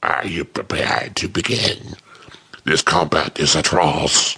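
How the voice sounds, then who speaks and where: A man puts on a character voice, raspy and guttural. It sits at a very deep, low pitch and moves at a fairly slow pace. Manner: hollow, ghostly.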